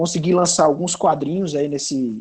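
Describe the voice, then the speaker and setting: Here a man speaks with a Ceará accent at a fairly quick pace. His pitch sits fairly high, and his intonation stays fairly even. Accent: northeastern Brazilian (Cearense) Portuguese. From Brazil, Ceará (Sobral, interior). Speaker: comics writer. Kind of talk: panel discussion. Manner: casual, hesitant with fillers.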